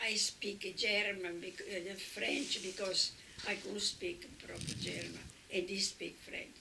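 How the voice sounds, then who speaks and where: A woman with an Italian accent, very slow, medium in pitch, with noticeable background noise. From Italy. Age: 80s+. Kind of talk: interview answer.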